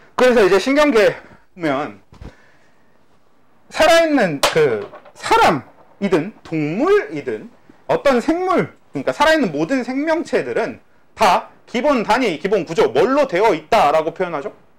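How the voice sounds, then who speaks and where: This man's high-pitched voice has very wide pitch swings. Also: fairly slow pace. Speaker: biology teacher. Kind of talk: lecture. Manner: casual, conversational.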